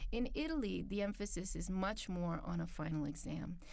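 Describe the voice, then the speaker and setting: With a dark, mellow tone and vocal fry, a woman speaks at a medium pitch and moderate pace with lively intonation, in audible room echo. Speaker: international office staff at a university. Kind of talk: interview. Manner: articulate, measured.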